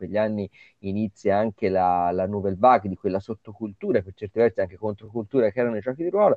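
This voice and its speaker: A man with a fairly low pitch at a very fast pace. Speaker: comics festival director. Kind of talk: casual interview.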